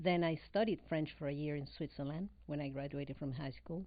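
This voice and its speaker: A woman with a very deep, low pitch and a Spanish accent, at a moderate pace with ordinary pitch variation. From Venezuela. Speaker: real estate broker and business owner. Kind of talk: casual interview.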